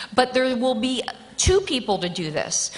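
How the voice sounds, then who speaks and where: High in pitch, a woman speaks with lively intonation. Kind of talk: nomination speech. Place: hall. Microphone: podium.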